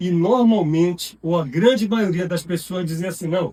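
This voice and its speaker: A man with a high pitch, at a moderate pace. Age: 60s. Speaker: architect and lecturer. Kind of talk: lecture. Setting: university auditorium. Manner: casual, conversational with many fillers.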